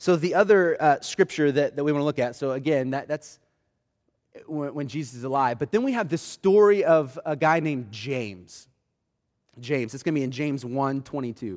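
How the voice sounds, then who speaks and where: On a very clean recording with a silent background, a man with an American accent talks at a fairly quick pace in a fairly high voice. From Oklahoma City, US. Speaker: pastor. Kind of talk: sermon. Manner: halting.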